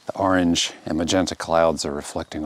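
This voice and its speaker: Noticeable background noise sits behind a man's very deep, low voice. He keeps a moderate pace and fairly even intonation. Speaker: landscape photographer. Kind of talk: casual vlog narration on location. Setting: outdoors. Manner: hesitant, many fillers.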